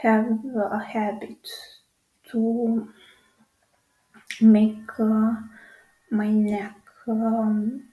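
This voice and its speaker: A woman speaks at a very slow pace, her tone dark and mellow with a somewhat breathy quality. Her intonation stays flat and monotone, broken by long, frequent pauses. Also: fairly high pitch for a woman. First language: a South Slavic language. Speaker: channel host. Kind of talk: casual vlog monologue. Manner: halting, many fillers.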